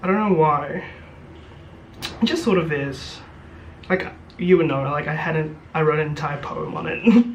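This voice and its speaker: At a moderate pace, the speaker leaves long, frequent pauses amid noticeable background noise. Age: 20s. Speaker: YouTuber and university student. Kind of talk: casual chat. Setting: student room. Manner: animated; hesitant.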